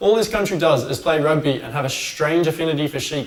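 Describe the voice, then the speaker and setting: Very fast and animated, a man with an Australian accent talks at a fairly high pitch. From Australia, Sydney. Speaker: sports commentator, online show host. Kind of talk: casual sports commentary vlog.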